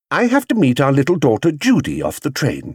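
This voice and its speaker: This is a man's voice on a very clean recording with a silent background. The sound is dry and close, with no echo. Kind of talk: audiobook reading of a children's story. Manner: animated, voicing different characters.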